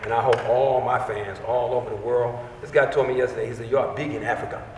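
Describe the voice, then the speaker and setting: A man talks at a fairly quick pace with fairly even intonation. Noticeable background noise and audible room echo are present. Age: 60s. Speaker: actor. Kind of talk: interview.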